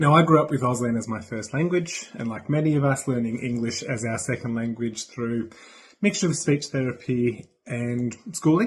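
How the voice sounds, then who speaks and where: A man with an Australian accent speaks at a moderate pace in a medium pitch, his voice somewhat breathy with ordinary pitch variation against a quiet background. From Australia, Brisbane. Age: 30s. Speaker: sign language interpreter. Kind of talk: recorded video greeting.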